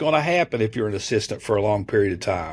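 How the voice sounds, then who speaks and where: A man sounds animated and somewhat breathy at a medium pitch, recorded very cleanly with a silent background. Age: 60s. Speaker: college basketball assistant coach. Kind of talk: podcast interview. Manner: animated, with frequent fillers and restarts.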